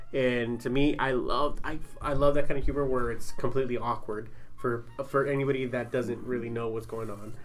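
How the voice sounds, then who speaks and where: With an ordinary speaking voice, a man talks at a fairly quick pace, medium pitch and fairly even intonation. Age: 30s. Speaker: podcast host. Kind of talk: casual chat. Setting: studio tent.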